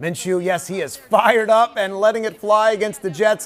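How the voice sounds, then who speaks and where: A man with an American accent, high in pitch, upbeat and energetic, at a fairly quick pace over noticeable background noise. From Philadelphia area. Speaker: sportscaster. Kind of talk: TV sports highlights anchor read. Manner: upbeat, energetic.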